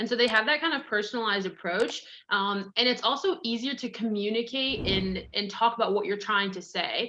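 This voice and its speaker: Over noticeable background noise, a woman speaks at a fairly high pitch. Her pace is fairly quick, with ordinary pitch variation. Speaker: marketing coach for financial advisors. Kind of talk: webinar presentation. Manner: fast; animated.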